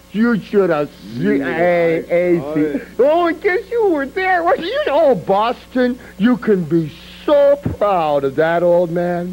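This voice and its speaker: Music plays in the background as a man speaks at a very slow pace in a high pitch. His pitch swings very widely while his loudness stays very even. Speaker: professional wrestler. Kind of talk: pro wrestling promo.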